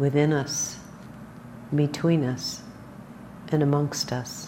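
With noticeable background noise behind her, a woman talks in a calm, gentle tone at a very deep, low pitch. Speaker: meditation teacher. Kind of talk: guided meditation. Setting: meditation hall with live group. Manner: slow, soft, calm and gentle with long pauses; warm, occasionally light-hearted and chatty.

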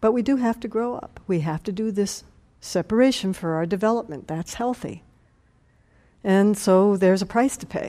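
On a very clean recording with a silent background, a woman with a dark, mellow tone speaks at a medium pitch and moderate pace, with ordinary pitch variation. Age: 60s. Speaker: meditation teacher. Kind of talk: dharma talk.

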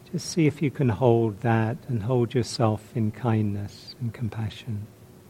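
A man's gentle, dark, mellow tone, somewhat breathy, with fairly even intonation and a fairly slow pace. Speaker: meditation teacher. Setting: meditation retreat. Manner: slow, gentle, soft-spoken with long pauses; calm, warm, reflective.

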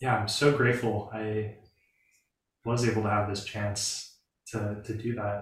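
Somewhat breathy and flat in a monotone, a man talks fairly slowly at a medium pitch. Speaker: lay practitioner. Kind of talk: personal sharing.

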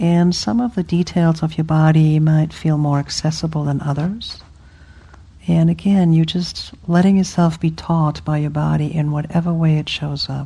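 Over noticeable background noise, a woman speaks in a soothing, gentle tone with a very deep, low pitch and fairly even intonation. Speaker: meditation teacher. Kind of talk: guided meditation. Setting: retreat hall with group. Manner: slow, soothing, gentle; playful, warm.

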